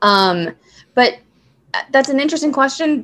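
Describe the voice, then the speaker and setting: Very wide pitch swings from a woman with an American accent. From Southern California. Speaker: casting director. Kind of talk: interview.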